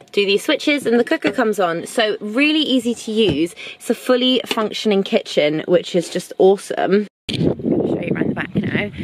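A woman talking at a fairly quick pace, dry sound with no echo, noticeable background noise behind her. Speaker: travel vlogger. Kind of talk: casual vlog chat. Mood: cheerful, enthusiastic. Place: car. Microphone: phone near.

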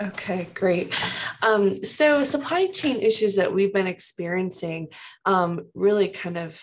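Speaking at a fairly slow pace, a woman uses an ordinary speaking voice at a medium pitch with lively intonation. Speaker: financial institution staff. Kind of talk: casual discussion. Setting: video call.

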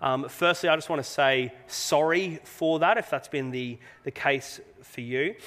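With an Australian accent, a man talks at a fairly high pitch with ordinary pitch variation. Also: fairly slow pace. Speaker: pastor. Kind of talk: sermon. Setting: church. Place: church.

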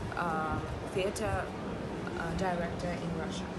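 Loud background noise fills the recording. A woman speaks at a fairly slow pace. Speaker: film actress. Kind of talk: interview answer. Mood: warm, thoughtful, occasionally laughing. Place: street.

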